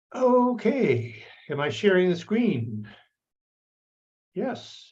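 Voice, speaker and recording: A man's high voice at a very slow pace, with very wide pitch swings and audible room echo. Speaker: anthropologist. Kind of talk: lecture. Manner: halting.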